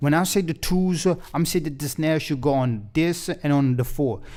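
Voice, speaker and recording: In a very clean recording with a silent background, a man with a non-native accent speaks at a moderate pace with ordinary pitch variation. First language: not English. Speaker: music production tutor. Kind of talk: tutorial. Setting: home recording studio. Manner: casual, many fillers.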